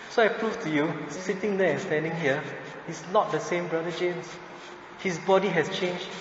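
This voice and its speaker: Over noticeable background noise and audible room echo, a man with a high pitch talks at a moderate pace. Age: 40s. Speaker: Buddhist teacher. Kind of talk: lecture. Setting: temple.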